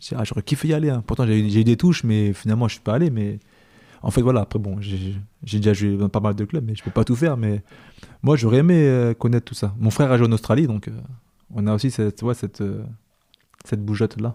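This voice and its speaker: The voice has a dark, mellow tone and ordinary pitch variation, moving at a very fast pace with long, frequent pauses in a very clean recording with a silent background and a dry, close sound with no echo. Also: man, fairly low pitch for a man. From France, Île-de-France (Paris region). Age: 30s. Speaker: former professional footballer. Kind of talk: podcast interview. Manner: casual, hesitant with repetitions.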